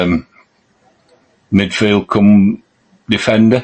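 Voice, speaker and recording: A man's fairly low voice with a Yorkshire accent. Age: 60s. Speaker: football podcast co-host. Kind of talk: casual chat.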